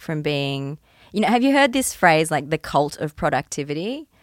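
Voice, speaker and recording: Moderately paced speech with ordinary pitch variation, in an Australian accent, with a dry, close sound and no echo. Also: woman. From Queensland, Australia. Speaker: musician. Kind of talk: casual chat. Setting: studio.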